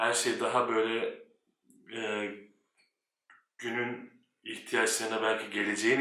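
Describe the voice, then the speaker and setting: Audible room echo surrounds a man talking fairly slowly at medium pitch with a bright, sharp tone. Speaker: airline pilot and YouTuber. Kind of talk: casual vlog monologue.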